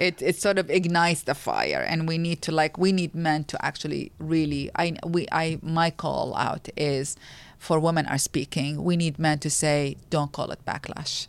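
A woman with an Arabic accent speaks in a very deep, low pitch at a moderate pace, hardly pausing at all. Her intonation is monotone and flat on a very clean recording with a silent background. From Iraq, Baghdad. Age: 40s. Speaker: women's rights advocate. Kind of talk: interview.

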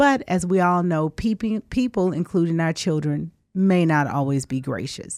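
Speaking at a fairly slow pace with hardly any pauses, a woman with a Southern US accent has a fairly low pitch and lively intonation, recorded dry and close with no echo. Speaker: attorney. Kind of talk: radio call-in talk. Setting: radio studio.

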